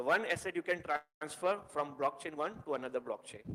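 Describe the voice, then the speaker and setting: With an Indian accent, a man speaks at a high pitch with ordinary pitch variation. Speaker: tech meetup speaker. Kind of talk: technical presentation. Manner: fast.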